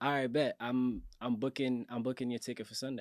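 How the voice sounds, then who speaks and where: The recording is very clean, with a silent background. A man speaks with a Cape Verdean accent. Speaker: musician and social media influencer. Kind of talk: podcast interview. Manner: calm; casual.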